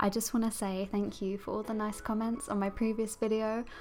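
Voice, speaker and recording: A woman with an English accent, fairly high-pitched, at a moderate pace. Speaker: digital artist and tutorial creator. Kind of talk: tutorial.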